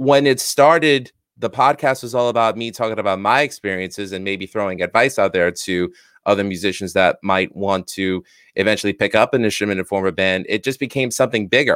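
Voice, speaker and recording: A man speaks at a fairly quick clip with a fairly low pitch. His pitch varies in an ordinary way. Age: 40s. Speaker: musician and podcaster. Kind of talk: interview. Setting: video call.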